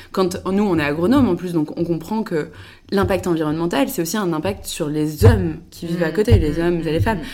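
A woman talks at a fairly quick pace with lively intonation. Her fairly low voice has a dark, mellow tone and vocal fry. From western France (Le Mans, Angers). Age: 20s. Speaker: tech startup co-founder. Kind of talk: casual interview chat. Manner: hesitant, many fillers.

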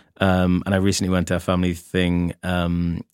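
In a very clean recording with a silent background, a man with a very deep, low voice speaks in a flat monotone, the sound dry and close with no echo. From Northern Ireland, between Moira and Lisburn. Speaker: drag performer. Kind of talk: casual chat.

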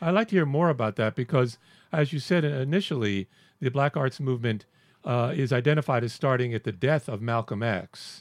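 Using an ordinary speaking voice with an American accent, a man talks at a fairly quick pace in a medium pitch with lively intonation. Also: dry, close sound with no echo. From US South. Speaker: podcast co-host. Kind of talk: casual chat. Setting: video call.

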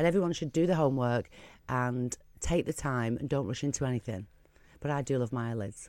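In a very clean recording with a silent background, a woman speaks at a fairly quick pace in a dark, mellow tone, with a very deep, low pitch and ordinary pitch variation. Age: 40s. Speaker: cosmetic clinic owner. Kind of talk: radio interview.

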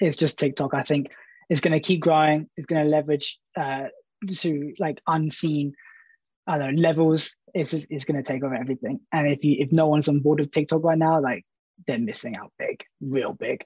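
A man with a southern English accent, somewhat breathy and fairly high in pitch, at a moderate pace with fairly even intonation, in dry, close sound with no echo against a quiet background. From Brighton, England. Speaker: social media content producer. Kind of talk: panel discussion.

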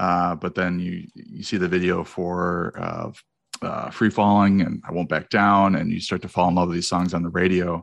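A man with a very deep, low voice speaks with an American accent. His delivery is monotone and flat at a moderate pace. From Wisconsin, US Midwest. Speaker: fantasy football podcaster. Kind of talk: casual chat.

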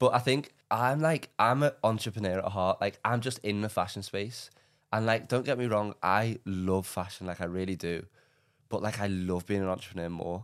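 A man with an English accent speaks in an animated tone at a moderate pace and fairly low pitch with ordinary variation, in a very clean recording with a silent background. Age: 20s. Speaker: entrepreneur. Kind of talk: casual chat. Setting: studio.

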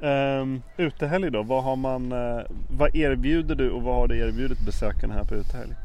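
A man at a moderate pace, with audible room echo. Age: 50s. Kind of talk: casual interview.

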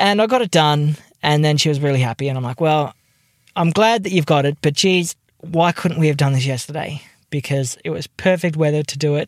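A man with an Australian accent talks at a fairly quick pace, with a fairly high pitch and ordinary pitch variation. The recording is very clean with a silent background and a dry, close sound with no echo. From Tasmania, Australia. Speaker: podcast co-host. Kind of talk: casual chat. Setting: in a car.

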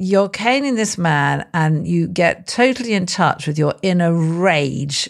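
This is a woman speaking with a British accent. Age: 50s. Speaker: podcast host, love coach. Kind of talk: podcast interview.

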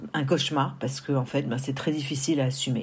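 A woman with a very deep, low voice speaks amid audible room echo. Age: 50s. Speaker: woman giving a menopause testimony. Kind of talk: testimony.

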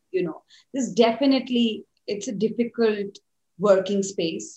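A somewhat breathy woman's voice at a moderate pace with ordinary pitch variation. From India. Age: 30s. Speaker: cinematographer. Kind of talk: casual interview.

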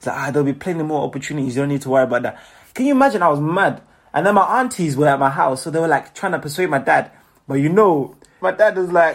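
In a British accent, a man with a fairly high voice races along at a very fast pace with lively intonation and an animated tone, on a very clean recording with a silent background. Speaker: singer, songwriter and dancer. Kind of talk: casual interview.

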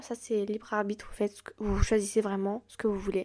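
A woman speaks at a moderate pace with a fairly high pitch. The recording is very clean, with a silent background. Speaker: podcast host. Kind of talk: solo podcast advice talk. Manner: casual, with many fillers.

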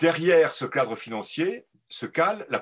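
The pitch swings very widely as a man speaks. The background is quiet. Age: 60s. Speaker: agricultural economist. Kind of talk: live interview. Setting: video call.

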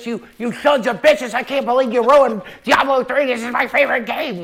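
A man puts on a character voice at an extremely high pitch. He goes at a fairly quick pace. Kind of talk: exaggerated comedic rant. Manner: angry, ranting.

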